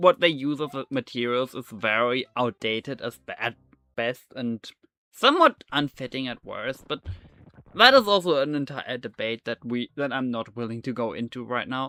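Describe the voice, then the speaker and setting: Spoken at a moderate pace in a German accent, the voice has a bright, sharp tone and ordinary pitch variation, with a dry, close sound and no echo. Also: man, medium pitch for a man. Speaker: gaming streamer. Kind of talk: casual chat. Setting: live stream. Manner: halting, many fillers.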